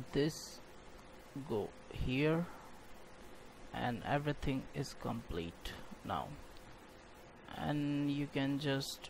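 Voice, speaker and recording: With a non-native accent, a man speaks at a very slow pace, his pitch fairly high with ordinary variation. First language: not English. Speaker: game development tutorial creator. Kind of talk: software tutorial narration.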